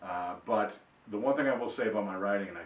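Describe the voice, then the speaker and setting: Someone with a Boston accent talks very fast over noticeable background noise, with room echo audible. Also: man. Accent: Boston-area. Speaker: author. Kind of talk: personal introduction monologue. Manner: hesitant, many fillers and repeats.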